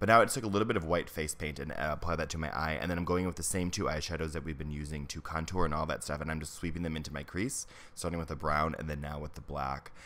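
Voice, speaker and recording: Very fast and very deep, a man's low-pitched voice moves with ordinary pitch variation. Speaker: makeup artist. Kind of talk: tutorial. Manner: casual.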